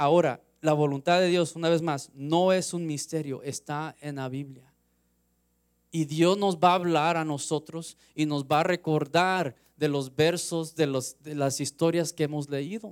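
Speaking at a fairly slow pace, a man with a fairly high pitch keeps a fairly even intonation in a very clean recording with a silent background. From US West Coast, Los Angeles. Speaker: lay preacher. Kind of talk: sermon. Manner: halting.

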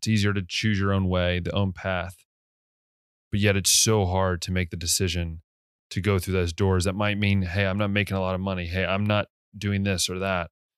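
A man with an American accent and an ordinary speaking voice talks at a moderate pace and fairly low pitch, with fairly even intonation, on a very clean recording with a silent background. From US. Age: 20s. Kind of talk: casual monologue.

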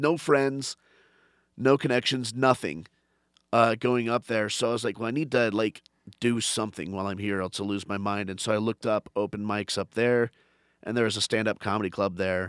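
With an American accent, a man speaks at a moderate pace and fairly low pitch with ordinary pitch variation, in a very clean, dry, close recording with no echo and a silent background. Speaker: stand-up comedian. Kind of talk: casual chat. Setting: studio. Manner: energetic.

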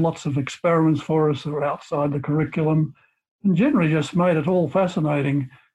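The speaker has an Australian accent and a fairly quick pace. The intonation stays fairly even. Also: man. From Australia, rural Victoria. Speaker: chemistry professor. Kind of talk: interview.

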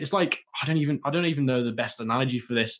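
A man talks at a very fast pace with a British accent. His pitch is fairly high. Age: 20s. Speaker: e-commerce entrepreneur. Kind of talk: interview.

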